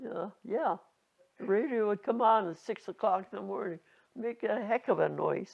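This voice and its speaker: Her medium-pitched voice shows vocal fry, and this woman keeps ordinary pitch variation. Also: moderate pace. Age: 80s+. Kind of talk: interview answer.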